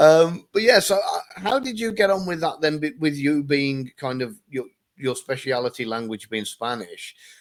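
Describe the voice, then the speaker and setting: A man with an English accent speaks at a moderate pace, his fairly high voice swinging very widely in pitch. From England. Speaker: interview host. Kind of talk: casual interview chat.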